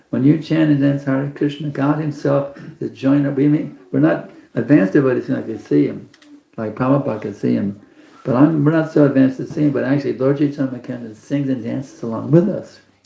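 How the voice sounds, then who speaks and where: A man with an American accent speaks very fast at a fairly high pitch, with ordinary pitch variation. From Texas. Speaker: spiritual teacher. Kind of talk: religious class talk. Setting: evening program with live audience.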